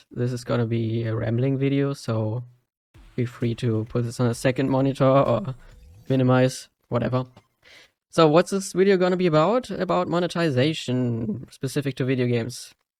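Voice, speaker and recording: A man with a non-native accent speaks at a moderate pace and medium pitch, his intonation lively. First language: not English. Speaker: gaming video creator. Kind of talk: casual monologue. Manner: halting, many fillers.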